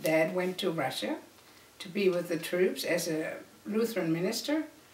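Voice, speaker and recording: A woman speaks at a moderate pace with a fairly low pitch and ordinary pitch variation. Noticeable background noise and audible room echo are present. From Germany. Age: 70s. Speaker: family elder telling life story. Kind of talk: oral history interview.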